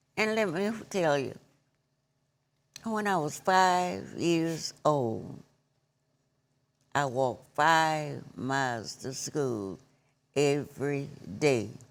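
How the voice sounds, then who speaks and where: Delivered at a very slow pace with long, frequent pauses, the speech carries a Southern US accent and very wide pitch swings. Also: woman, very deep, low pitch for a woman. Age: 80s+. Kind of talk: interview answer.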